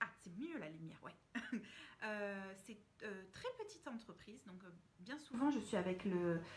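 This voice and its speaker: Somewhat breathy, a woman speaks at a moderate pace. Her pitch swings very widely. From France. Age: 30s. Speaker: communication consultant and trainer. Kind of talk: casual live stream talk to viewers.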